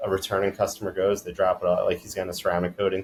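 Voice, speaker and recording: A man with a slight East Coast accent at a very fast pace, with music in the background. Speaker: detailing business owner. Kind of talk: podcast interview. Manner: monotone.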